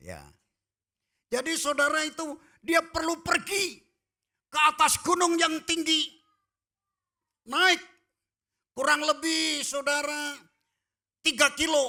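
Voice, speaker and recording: A raised, projected voice with a bright, sharp tone, fairly even intonation and a very slow pace broken by long, frequent pauses, on a very clean recording with a silent background. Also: man, extremely high pitch for a man. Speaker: pastor. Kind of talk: sermon. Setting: church.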